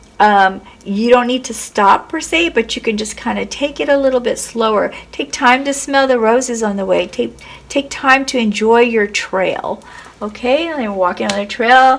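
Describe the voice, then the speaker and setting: A woman talks at a fairly high pitch while noticeable background noise plays behind her. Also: ordinary pitch variation. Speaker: tarot reader. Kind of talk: tarot reading. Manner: slow; hesitant, many fillers.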